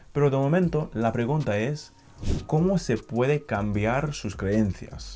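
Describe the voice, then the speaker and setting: Over background music, the speech unfolds at a fairly slow pace with ordinary pitch variation. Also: man. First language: not Spanish (learned Spanish) (speaking Spanish). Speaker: language learning youtuber. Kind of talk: motivational talk to camera.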